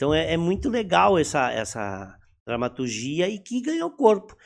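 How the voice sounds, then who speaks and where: A man with a high voice swings his pitch very widely, recorded very cleanly against a silent background. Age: 50s. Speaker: actor and theatre director. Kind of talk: casual interview chat.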